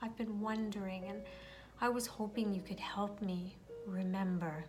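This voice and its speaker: A woman at a medium pitch speaks at a fairly slow pace with fairly even intonation while music plays in the background. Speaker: meditation guide. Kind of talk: guided meditation.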